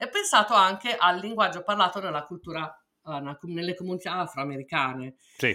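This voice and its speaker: A woman speaks fairly quickly at medium pitch with ordinary pitch variation, big swings in loudness and long, frequent pauses. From Italy (Milan). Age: middle-aged. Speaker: podcast co-host. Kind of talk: casual chat.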